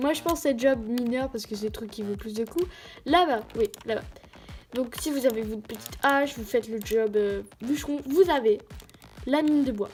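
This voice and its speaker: A woman's high-pitched voice at a fairly slow pace, with ordinary pitch variation and music in the background. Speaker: gaming youtuber. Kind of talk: gameplay commentary. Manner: stuttering today; hesitant, many fillers.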